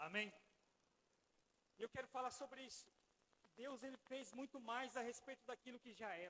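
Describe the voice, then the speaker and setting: In a raised, projected voice with a bright, sharp tone, a man speaks at an extremely high pitch with ordinary pitch variation and long, frequent pauses, the sound dry and close with no echo. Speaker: pastor. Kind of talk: sermon. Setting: church. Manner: fast.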